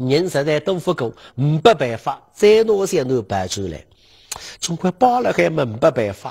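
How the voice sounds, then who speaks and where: The speaker moves through very wide pitch swings at a moderate pace. The background is quiet. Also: man. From Suzhou, China; China. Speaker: lecturer on local history. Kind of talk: lecture. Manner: animated. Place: studio. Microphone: lapel.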